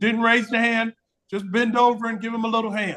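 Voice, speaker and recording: Talking at a fairly quick pace, a man uses an extremely high pitch with monotone, flat intonation. His tone is bright and sharp. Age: 60s. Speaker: retired business professor giving a talk. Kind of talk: interactive lecture.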